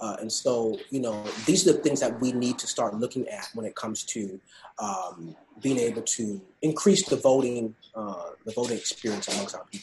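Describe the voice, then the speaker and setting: Somewhat breathy, a man speaks at medium pitch and a moderate pace, with lively intonation and big swings in loudness. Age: 20s. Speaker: state government policy fellow. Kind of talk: interview.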